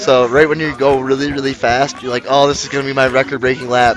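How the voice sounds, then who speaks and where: With an American accent, a man speaks at a fairly quick pace in an animated tone while music plays in the background. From Michigan. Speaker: livestream race commentator. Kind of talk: live commentary. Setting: live stream at a race venue. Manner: casual, animated. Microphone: single shared mic after audio issues.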